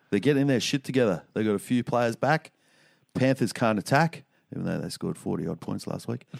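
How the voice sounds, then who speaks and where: With an Australian accent, a man of medium pitch talks at a fairly quick pace with lively intonation, and the sound is dry and close with no echo. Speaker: podcast co-host. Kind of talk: casual banter podcast.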